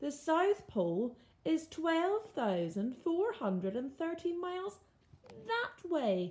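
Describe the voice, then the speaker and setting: A woman speaks in a put-on character voice. Her pitch is extremely high and swings very widely. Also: fairly slow pace. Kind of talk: bedtime story. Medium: read story. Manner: warm, kindly.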